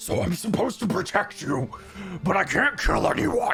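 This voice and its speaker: In a put-on, growling character voice, a man speaks at a high pitch and a moderate pace with clear background noise behind him. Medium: actual play. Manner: gruff, terse, with musing hums.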